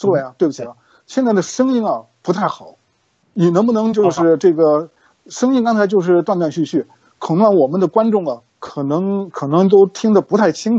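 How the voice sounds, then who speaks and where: A man talks at a moderate pace with a high pitch and lively intonation. The sound is dry with no echo, and the background is quiet. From mainland China. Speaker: show host. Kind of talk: interview. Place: home room. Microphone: video call.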